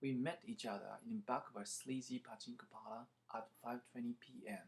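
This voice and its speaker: The speaker talks at a moderate pace with a Japanese accent. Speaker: translator. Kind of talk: reading aloud.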